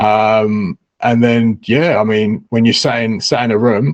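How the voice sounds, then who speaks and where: Speaking at a medium pitch, the man has an English accent. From England. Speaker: crypto newsletter writer. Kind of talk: casual chat.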